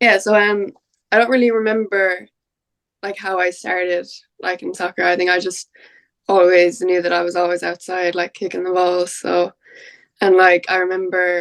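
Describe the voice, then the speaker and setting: With an Irish accent, a woman speaks at a medium pitch and moderate pace. Her intonation is fairly even, broken by long, frequent pauses. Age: 20s. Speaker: women's football player. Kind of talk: podcast interview. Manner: casual, hesitant with fillers.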